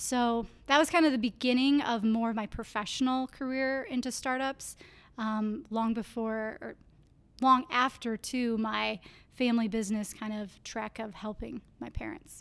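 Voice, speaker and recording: With an Upper Midwest accent, a woman speaks at a moderate pace in a fairly high pitch and fairly even intonation, on a very clean recording with a silent background. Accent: Upper Midwest American. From Iowa (Clear Lake). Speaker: university entrepreneurship program coordinator. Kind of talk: interview.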